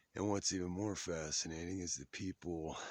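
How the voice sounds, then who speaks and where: This is a man talking. His recording is very clean, and the background is silent. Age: 40s. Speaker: vlogger. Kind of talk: casual monologue. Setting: at a window looking at the sky.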